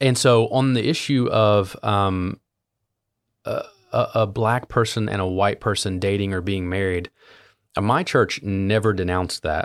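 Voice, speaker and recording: A man with an American accent speaks at a fairly slow pace, with normal rise and fall in pitch. He has a plain, everyday voice. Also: fairly low pitch for a man. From US Midwest, southern Ohio (Appalachia). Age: 30s. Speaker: youth pastor, podcast host. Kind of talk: interview conversation.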